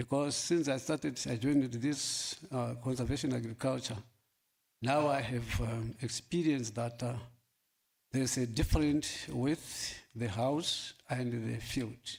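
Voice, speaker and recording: With fairly even intonation, the man's voice sounds somewhat breathy. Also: medium pitch for a man, fairly slow pace. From Namibia, Kavango East. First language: local Namibian language. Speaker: farmer. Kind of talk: workshop panel talk. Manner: halting, many fillers.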